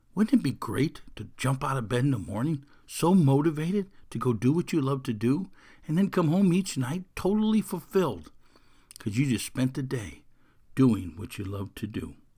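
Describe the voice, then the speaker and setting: A man speaks in an energetic, enthusiastic tone at a medium pitch and moderate pace, somewhat breathy, with very wide pitch swings. The recording is very clean, with a silent background. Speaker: podcast host and mental toughness coach. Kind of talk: motivational podcast talk.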